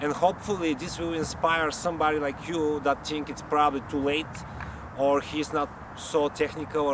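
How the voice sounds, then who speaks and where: A man with a strong non-native accent speaks at a moderate pace in a fairly high pitch. His intonation is monotone and flat, with noticeable background noise. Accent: strong foreign. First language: not English. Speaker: YouTuber, amateur camera reviewer. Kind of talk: casual vlog review. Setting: about three meters from camera mic.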